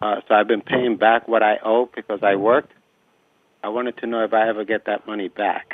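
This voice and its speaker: With monotone, flat intonation, a man talks at a fairly quick pace and a medium pitch. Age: 60s. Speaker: caller. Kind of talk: call-in question. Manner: halting.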